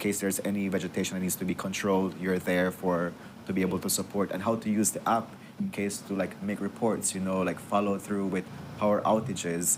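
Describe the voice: This man has a low pitch with little pitch movement. He talks at a fairly quick pace with few pauses.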